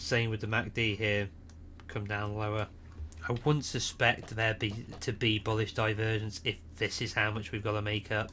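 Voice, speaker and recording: Speaking at a moderate pace, a man keeps a fairly low pitch in monotone, flat intonation. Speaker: trading analyst. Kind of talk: market analysis talk to viewers.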